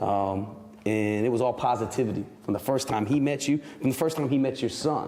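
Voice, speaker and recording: Against noticeable background noise, a man with a medium pitch talks at a fairly quick pace. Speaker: school principal and parent. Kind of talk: casual chat. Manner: halting, many repeated words.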